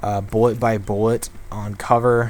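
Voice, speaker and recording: A man's medium-pitched voice stays flat and monotone while noticeable background noise carries on. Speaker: gaming youtuber. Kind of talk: live gameplay commentary. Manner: halting, many fillers; distracted while playing.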